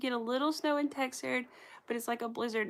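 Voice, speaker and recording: In a very clean recording with a silent background, a woman with an American accent projects a raised, high-pitched voice with a bright, sharp tone. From US South, North Carolina. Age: 30s. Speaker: crochet livestreamer. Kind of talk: casual chat. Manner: animated.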